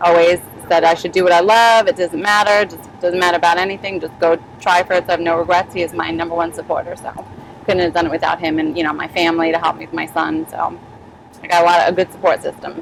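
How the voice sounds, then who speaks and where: A woman with an American accent speaks very fast in a fairly low, monotone voice with flat intonation over noticeable background noise. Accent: New York accent, fading slightly. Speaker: sheriff's deputy. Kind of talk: casual chat.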